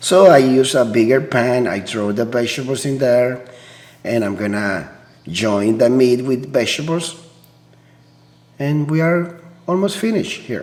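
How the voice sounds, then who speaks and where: In a room with audible echo, a man at a medium pitch talks at a fairly slow pace with lively intonation and long, frequent pauses. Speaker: cooking channel host. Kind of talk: cooking tutorial. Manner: casual, halting with fillers.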